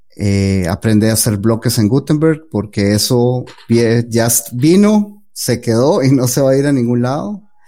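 At a fairly slow pace, a man speaks in a normal speaking voice with lively intonation. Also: medium pitch for a man. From Costa Rica. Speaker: web developer. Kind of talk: interview.

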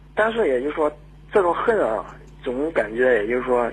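Over noticeable background noise, a man speaks at a fairly quick pace. His voice is medium in pitch with lively intonation. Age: 20s. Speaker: caller. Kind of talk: phone-in confession. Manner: halting.

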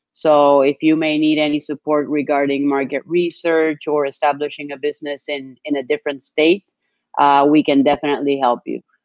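A woman with a Spanish accent and a very deep, low pitch speaks at a fairly quick pace in a monotone, flat intonation. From Colombia. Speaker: business plan company sales executive. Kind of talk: webinar presentation. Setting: live stream.

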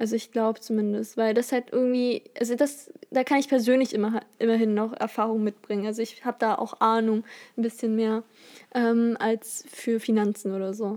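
Monotone, flat intonation marks this woman's fairly high voice. Her tone is dark and mellow, and her pace is moderate. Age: young. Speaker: podcast co-host, university student. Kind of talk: casual chat.

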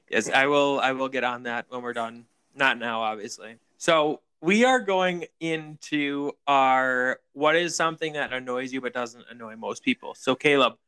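A man with a bright, sharp tone at a moderate pace, with ordinary pitch variation in a dry, close sound with no echo. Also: medium pitch for a man, very clean recording, silent background. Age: 20s. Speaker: podcast co-host. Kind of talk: casual chat.

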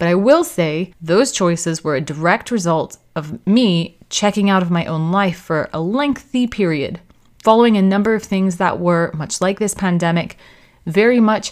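A woman with an American accent and an ordinary speaking voice talks at a medium pitch and a moderate pace, with ordinary pitch variation, on a very clean recording with a silent background. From United States. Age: 30s. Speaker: podcast host. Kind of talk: scripted narration.

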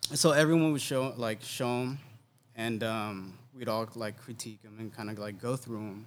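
An unremarkable speaking voice from a man, medium in pitch with ordinary pitch variation, at a moderate pace with big swings in loudness. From Oceanside, California (moved from New Jersey/New York around high school). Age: 40s. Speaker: photographer and creative director. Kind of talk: casual chat.

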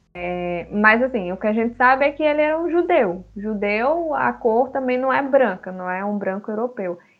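In a normal speaking voice, a woman with a fairly high pitch uses lively intonation at a fairly slow pace. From Guinea-Bissau until age 7, then Brazil. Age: 20s. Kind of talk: casual discussion.

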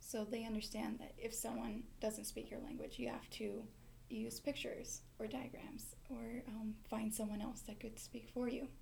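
In an American accent, a woman speaks at a moderate pace with audible room echo. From Montana, Mexican family. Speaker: university student, medical interpreter. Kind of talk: casual interview.

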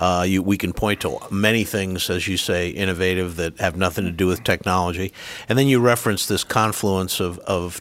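A man's very deep, low voice in a Rhode Island accent, at a moderate pace with hardly any pauses and fairly even intonation. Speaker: university president and podcast host. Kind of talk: interview, conversational.

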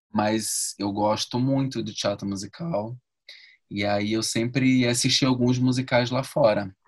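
A man talks in a normal speaking voice at a medium pitch. He goes at a fairly slow pace with fairly even intonation. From Rio de Janeiro, Brazil. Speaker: actor and ballet dancer. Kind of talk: interview.

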